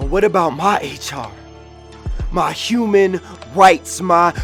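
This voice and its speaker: With music playing behind him, a man talks at a moderate pace in a high pitch. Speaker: spoken word poet. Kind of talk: slam poetry performance.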